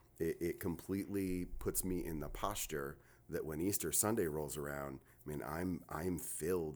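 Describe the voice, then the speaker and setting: In an American accent with vocal fry, the speaker keeps a moderate pace and ordinary pitch variation. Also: man. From New Jersey. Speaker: pastor. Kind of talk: casual podcast chat. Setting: studio.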